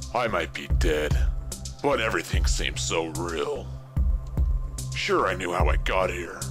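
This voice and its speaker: A man in a put-on character voice, with loud music in the background. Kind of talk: brooding sci-fi voice-over. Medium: machinima. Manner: grim, introspective.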